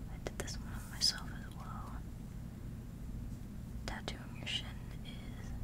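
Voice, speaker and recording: A woman at a very slow pace against loud background noise. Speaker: ASMR creator. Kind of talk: ASMR show-and-tell talk to camera. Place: home room. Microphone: earbuds.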